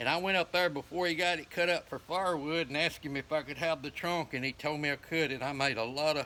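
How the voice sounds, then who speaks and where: The voice has a bright, sharp tone and a rural Southern US accent, moving at a fairly quick pace with fairly even intonation. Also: man. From US South, northeast Alabama. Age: 60s. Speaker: folk craftsman and fiddler. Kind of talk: casual show-and-tell interview.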